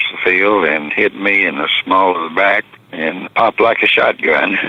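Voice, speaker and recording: A man's very deep, low voice with a Southern US accent, fairly even intonation and a moderate pace, over noticeable background noise. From Texas and Arkansas. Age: 80s+. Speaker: retired pro football player. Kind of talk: interview storytelling.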